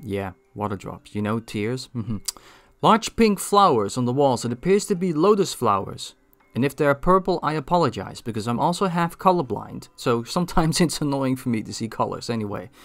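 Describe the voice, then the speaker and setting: On a very clean recording with a silent background, a man with a Dutch accent talks at a fairly quick pace, his fairly high pitch making very wide swings. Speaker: gaming video creator. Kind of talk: scripted narration.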